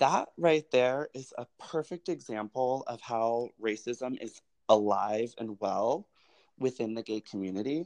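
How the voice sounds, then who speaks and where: A man with an American accent talks in a plain, everyday voice at medium pitch, fairly slow pace and ordinary pitch variation. The sound is dry and close with no echo, over a quiet background. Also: big swings in loudness. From Colorado, US. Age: 20s. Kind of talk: interview conversation.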